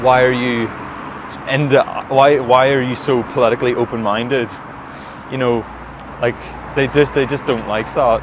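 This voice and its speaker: A man with a Derry accent, medium in pitch and monotone and flat, at a moderate pace with long, frequent pauses amid noticeable background noise. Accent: Northern Irish (Derry). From Northern Ireland, Limavady, County Derry. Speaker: podcast guest. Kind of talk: casual chat. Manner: laid-back; halting, many restarts.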